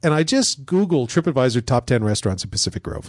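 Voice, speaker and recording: An unremarkable speaking voice from a man, fairly high in pitch with lively intonation, in a dry, close sound with no echo and a quiet background. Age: 50s. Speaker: paranormal investigator and TV show co-host. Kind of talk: casual chat.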